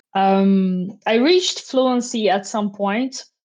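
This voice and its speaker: Here is a woman with a Portuguese accent. Her intonation stays fairly even. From Brazil, Rio de Janeiro. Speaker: software engineer. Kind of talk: casual interview chat.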